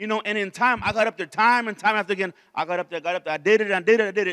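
Against a quiet background, a man speaks very fast in a raised, projected voice with a bright, sharp tone. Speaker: preacher. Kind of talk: sermon. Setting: church. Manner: animated. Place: church. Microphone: handheld.

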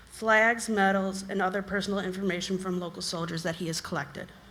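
A woman speaks loudly in a bright, sharp tone at a fairly quick pace with fairly even intonation. Audible room echo surrounds her voice. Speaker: resident speaking at public comment. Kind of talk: public comment. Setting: town council meeting.

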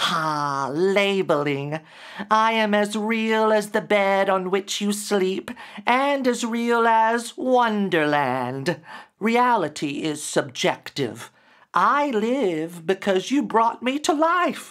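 A man's put-on character voice, high-pitched and hissing, at a very slow pace in a very clean recording with a silent background. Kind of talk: dramatic story reading. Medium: read story. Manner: hissing then warm. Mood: philosophical.

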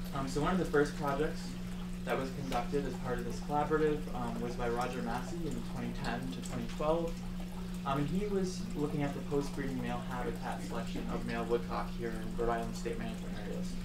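A man talks fairly quickly while loud noise fills the background. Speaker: presenter. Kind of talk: conference talk. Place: meeting room. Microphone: camera far.

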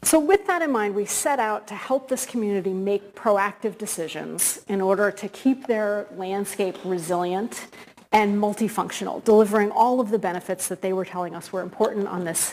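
The pitch varies in an ordinary way. Light background noise can be heard. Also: woman, moderate pace, hardly any pauses. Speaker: guest academic lecturer. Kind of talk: lecture. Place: hall.

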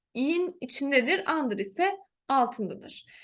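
Against a quiet background, a woman's high voice moves very slowly through very wide pitch swings. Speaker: teacher. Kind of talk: tutorial.

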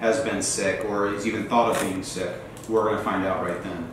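Strong room echo surrounds a man speaking with fairly even intonation over light background noise. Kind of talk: scripted scene dialogue, briefing a meeting. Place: meeting room.

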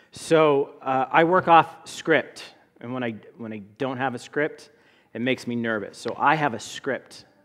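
The speaker talks at a fairly slow pace. Pitch varies in an ordinary way. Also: man. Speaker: guest. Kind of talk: sermon. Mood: joking, relaxed. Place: church. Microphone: headset.

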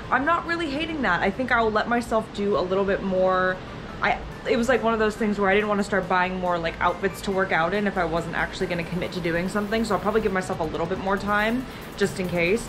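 Music plays in the background as a woman speaks at a very fast pace. Her pitch varies in an ordinary way. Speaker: vlogger. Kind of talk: casual vlog chat. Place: home room. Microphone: phone near.

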